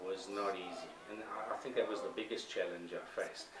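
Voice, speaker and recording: A man speaks with a slight South African accent. Audible room echo and noticeable background noise surround his voice. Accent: English with a South African tinge. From England, long years in South Africa. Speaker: business owner. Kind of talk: interview answers. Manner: hesitant, with fillers and repeats.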